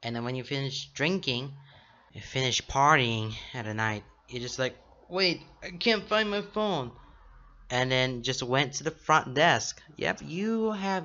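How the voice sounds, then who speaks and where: A man at a fairly slow pace, lively in intonation, with long, frequent pauses. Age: 20s. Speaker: YouTuber reacting to stories. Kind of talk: reaction video reading stories aloud. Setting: home recording with shelf behind. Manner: halting. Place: home room. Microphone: studio mic.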